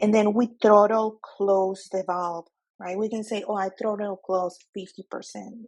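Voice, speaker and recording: Speaking at a fairly slow pace with a Spanish accent, a woman holds a medium pitch. Her intonation is monotone and flat. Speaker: nuclear exam tutor. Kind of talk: tutorial. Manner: hesitant, self-correcting.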